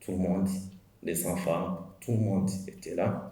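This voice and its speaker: Very deep and low in pitch, a man speaks at a fairly slow pace amid noticeable background noise and audible room echo. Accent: Rwandan. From Rwanda, Cyangugu area. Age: 40s. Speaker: genocide survivor. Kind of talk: testimony. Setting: commemoration event. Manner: halting, many hesitations.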